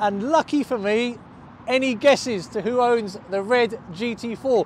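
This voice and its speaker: A man speaks in an extremely high voice. The sound is dry with no echo, with light background noise. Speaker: car vlogger. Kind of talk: casual vlog chat. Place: street. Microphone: lapel.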